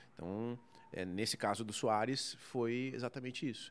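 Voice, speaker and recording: A man with a southern Brazilian accent and lively intonation. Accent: gaúcho Brazilian Portuguese. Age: 30s. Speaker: sports journalist. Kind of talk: casual interview. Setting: bar recording space.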